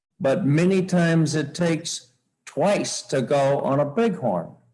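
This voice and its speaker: A man's voice is somewhat breathy and shows ordinary pitch variation. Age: 70s. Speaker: sheep hunter. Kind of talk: seminar talk.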